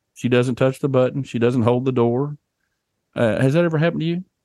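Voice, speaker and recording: Lively intonation marks this man's medium-pitched voice, in an American accent. The sound is dry and close with no echo, over a quiet background. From Oklahoma. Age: 50s. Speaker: financial and estate planning adviser, podcast co-host. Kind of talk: casual chat.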